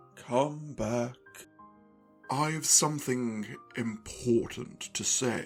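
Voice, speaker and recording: A put-on character voice at low-to-middle pitch, very slow pace and long, frequent pauses, with clear music in the background. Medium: audio drama. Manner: terse, contradicting.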